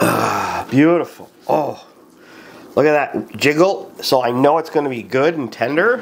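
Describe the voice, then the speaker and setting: Over noticeable background noise, a man with a fairly high pitch speaks fairly slowly with lively intonation. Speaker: cooking video creator. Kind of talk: cooking tutorial. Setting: outdoors.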